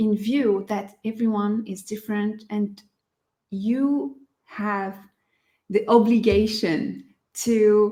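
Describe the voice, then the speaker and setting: A woman with a non-native accent speaks very slowly in a fairly high voice with fairly even intonation. Her tone is dark, mellow and somewhat breathy. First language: not English. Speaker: tarot teacher and online study group leader. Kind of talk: tutorial. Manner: halting, with many fillers.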